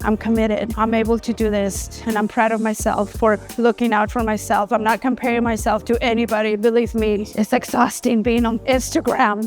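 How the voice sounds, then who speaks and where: A woman speaks at a moderate pace in a fairly high pitch with a monotone, flat delivery while music plays in the background. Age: 50s. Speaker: registered nurse. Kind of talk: interview answer.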